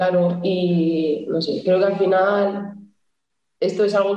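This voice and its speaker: Audible room echo surrounds a woman speaking at a medium pitch with monotone, flat intonation. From Cantabria, Spain. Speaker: futsal goalkeeper. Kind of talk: casual interview.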